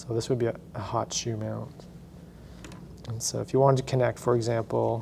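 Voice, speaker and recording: A man at a moderate pace with fairly even intonation, over light background noise. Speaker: instructor. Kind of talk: tutorial. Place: classroom.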